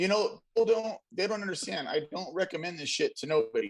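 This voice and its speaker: A man is speaking. His pace is moderate. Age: 40s. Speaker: car audio show co-host, tattoo artist. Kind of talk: casual chat.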